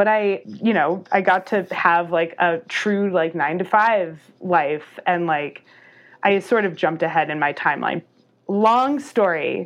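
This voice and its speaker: A normal speaking voice with ordinary pitch variation, at a fairly slow pace. The recording is very clean, with a silent background. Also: woman, fairly low pitch for a woman. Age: 30s. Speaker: professional cyclist and graphic designer. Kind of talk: casual interview.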